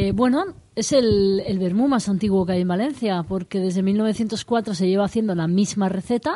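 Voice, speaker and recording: A woman talks at a moderate pace, with hardly any pauses. Hers is an ordinary speaking voice. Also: medium pitch for a woman, ordinary pitch variation. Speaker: vermouth brand ambassador. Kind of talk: casual chat. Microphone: too far from the mic.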